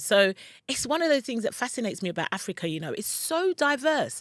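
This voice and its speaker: On a very clean recording with a silent background, a woman with a London accent talks very fast in an animated tone with very wide pitch swings. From London, UK (Ghanaian parents). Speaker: relocation and online business coach. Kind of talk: vlog-style advice talk. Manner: loud.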